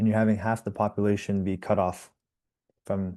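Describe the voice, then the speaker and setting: Against a quiet background, the voice has a dark, mellow tone. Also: man. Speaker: nonprofit program manager. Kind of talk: interview. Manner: casual, with many fillers and restarts.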